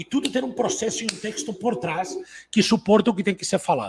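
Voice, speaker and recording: A man speaks at a fairly quick pace with a high pitch and lively intonation. The sound is dry and close, with no echo. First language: Catalan (speaking Portuguese). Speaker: entrepreneur and business coach. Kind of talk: online business talk.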